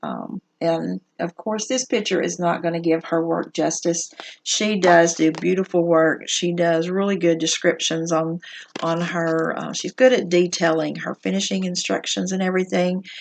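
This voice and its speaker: A woman with a Southern US accent speaks at a moderate pace, her fairly low pitch showing ordinary variation. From US South. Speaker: needlework shop owner. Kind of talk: casual show-and-tell video. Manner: casual, many fillers.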